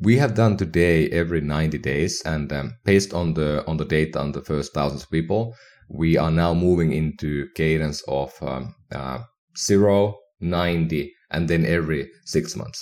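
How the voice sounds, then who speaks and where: A man with a Finnish accent speaks in a very deep, low pitch. He keeps a moderate pace with ordinary pitch variation. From northern Finland. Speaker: health tech entrepreneur. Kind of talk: casual interview. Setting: remote call.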